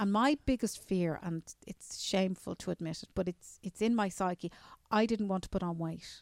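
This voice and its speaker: A woman speaks at a medium pitch and a moderate pace with ordinary pitch variation. The recording is very clean with a silent background, dry and close with no echo. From Ireland, Newcastle near Dublin. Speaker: journalist. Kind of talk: interview. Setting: convention center.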